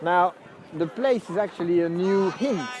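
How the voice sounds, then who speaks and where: A man with a French accent speaks at a high pitch and a fairly slow pace. His intonation is lively, with noticeable background noise. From France. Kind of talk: casual talk to camera.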